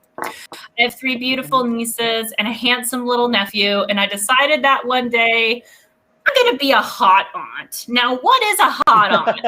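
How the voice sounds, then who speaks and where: Raising and projecting her voice, a woman speaks at a moderate pace with a high pitch and a bright, sharp tone. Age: 20s. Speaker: stand-up comedian. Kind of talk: stand-up.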